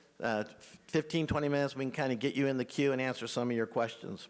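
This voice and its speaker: On a very clean recording with a silent background, a man talks with an American accent. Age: 60s. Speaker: estate planning adviser. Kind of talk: seminar presentation. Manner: fast.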